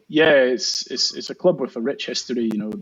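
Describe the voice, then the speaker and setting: A man's medium-pitched voice in a Scottish accent, with ordinary pitch variation. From Scotland. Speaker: marathon swimmer. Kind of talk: interview answer.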